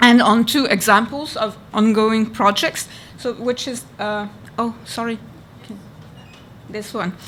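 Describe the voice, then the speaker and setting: A woman with a French accent speaks at a fairly high pitch, her intonation fairly even. There are big swings in loudness and long, frequent pauses. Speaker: archivist. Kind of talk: conference presentation. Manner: halting.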